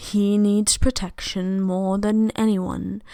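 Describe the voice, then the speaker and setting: A woman puts on a drawling character voice at a medium pitch and a very slow pace, on a very clean recording with a silent background. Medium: read story. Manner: calm, drawling.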